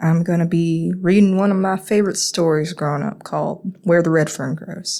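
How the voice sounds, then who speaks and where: A woman with a Southern US accent, fairly low in pitch, with ordinary pitch variation and a moderate pace. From North Carolina, USA. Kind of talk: casual introduction.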